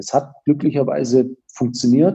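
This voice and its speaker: The man's tone is dark and mellow. He talks at a medium pitch, with ordinary pitch variation. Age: 40s. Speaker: company founder. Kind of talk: interview. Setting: video call.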